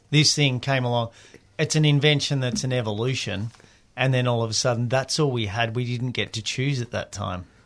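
Over a quiet background, a man with an Australian accent speaks at a fairly quick pace. His pitch sits in the medium range, and his intonation stays fairly even. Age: 40s. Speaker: penny-farthing bicycle builder. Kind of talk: radio interview, casual chat. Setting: radio studio.

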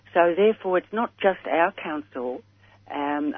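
A woman's very deep, low voice with an Australian accent, ordinary pitch variation and a fairly slow pace. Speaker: caller. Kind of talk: call-in question on radio. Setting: phone call. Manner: halting.

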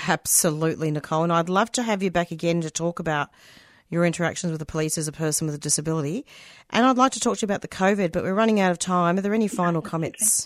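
Talking at a very fast pace with an Australian accent, a woman has a fairly low pitch and ordinary pitch variation, captured in a very clean recording with a silent background and a dry, close sound with no echo. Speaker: community radio host. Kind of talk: radio interview. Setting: studio.

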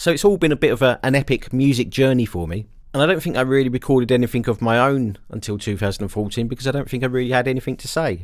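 With an English accent, a man talks at a very fast pace with hardly any pauses and ordinary pitch variation. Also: medium pitch for a man. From England. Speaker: musician and music producer. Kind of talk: radio dj patter, introducing his own album tracks. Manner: relaxed, conversational, reflective.

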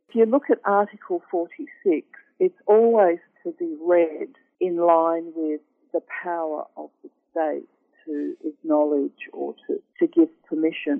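With an Australian accent, a woman speaks fairly slowly, her loudness rising and falling in big swings. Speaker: law professor. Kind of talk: interview. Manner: halting, many fillers and repeats.

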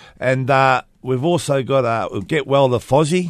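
Medium in pitch, a man speaks with ordinary pitch variation. The background is quiet. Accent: Australian. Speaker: community radio host, construction union. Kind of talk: casual chat.

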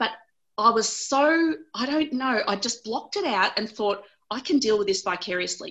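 A woman speaks at a moderate pace with an Australian accent and lively intonation. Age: 40s. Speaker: lawyer and abuse survivor. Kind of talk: interview. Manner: animated.

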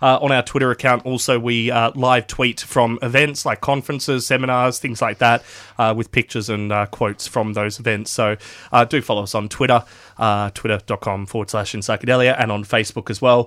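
This speaker has an Australian accent, a fairly quick pace and fairly even intonation. The recording is very clean, with a silent background and a dry, close sound with no echo. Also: man, medium pitch for a man. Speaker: radio host. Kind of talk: radio show presenting. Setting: studio. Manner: hesitant, filler-heavy.

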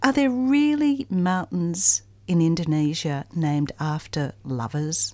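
A woman with an Australian accent speaks at a very slow pace, her fairly low, dark, mellow voice making very wide pitch swings. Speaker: community radio book show co-host. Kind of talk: radio interview. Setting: studio. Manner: animated.

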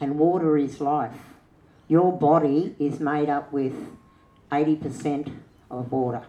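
Speaking with an Australian accent, a woman uses a very deep, low pitch and a dark, mellow tone, with ordinary pitch variation. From Australia, western New South Wales. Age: old. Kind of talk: panel discussion.

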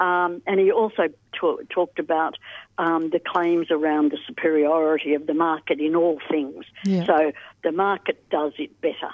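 A woman with a normal speaking voice and a fairly low pitch. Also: moderate pace. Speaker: pensioner advocate. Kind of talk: radio interview. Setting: phone call.

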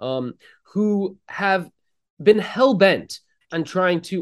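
A man's high-pitched voice with an American accent. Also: quiet background. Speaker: historian. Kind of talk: interview.

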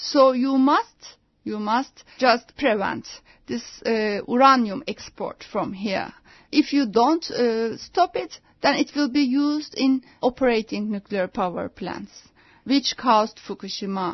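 At a very slow pace, a woman with a Turkish accent speaks in a high pitch with lively intonation. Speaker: anti-nuclear activist and journalist. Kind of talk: radio interview. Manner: halting.

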